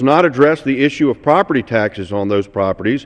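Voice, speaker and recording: Speaking with an American accent, a man keeps a medium pitch. His pace is fairly quick and his intonation lively. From Florida, USA. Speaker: congressman, member of the House. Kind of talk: formal House floor speech. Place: hall. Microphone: podium.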